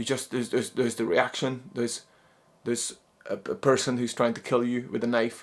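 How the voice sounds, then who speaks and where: This man talks at a fairly quick pace, pitched at a medium level, with a non-native accent. His intonation is monotone and flat. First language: not English. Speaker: psychologist and non-duality teacher. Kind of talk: spoken talk on spirituality. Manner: halting, many repeated words.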